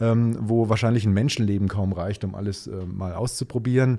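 On a very clean recording with a silent background, a man with a dark, mellow tone speaks at medium pitch with fairly even intonation. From Germany, Nuremberg (Franconia). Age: 50s. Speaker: Nova Scotia enthusiast, colleague of host. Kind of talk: casual interview.

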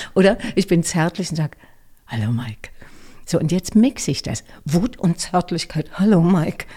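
A woman's somewhat breathy voice, dark and mellow in tone, with lively intonation, a moderate pace and long, frequent pauses. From Berlin, Germany. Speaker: voice actor and speech coach. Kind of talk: interview.

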